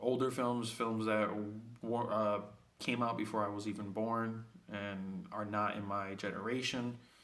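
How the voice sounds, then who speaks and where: A man talks at a fairly slow pace in a medium pitch. His intonation is monotone and flat, and there is audible room echo. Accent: Spanish. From Puerto Rico (Vieques), then New York City. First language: Spanish. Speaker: student. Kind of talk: self-introduction video. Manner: hesitant, many fillers.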